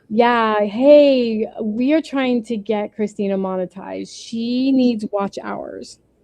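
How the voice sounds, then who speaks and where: A woman talks at a very slow pace in a fairly high pitch. Her tone is dark and mellow. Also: ordinary pitch variation, hardly any pauses. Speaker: crafting livestream host. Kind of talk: casual chat. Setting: livestream.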